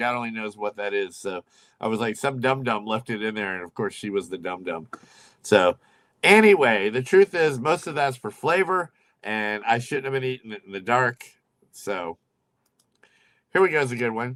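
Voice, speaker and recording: At a moderate pace and medium pitch, a man speaks with lively intonation, big swings in loudness and long, frequent pauses, in a dry, close recording with no echo that is very clean, with a silent background. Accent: American. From US, Oklahoma. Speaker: livestream host. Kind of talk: casual chat. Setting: home livestream. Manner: loud, carrying voice.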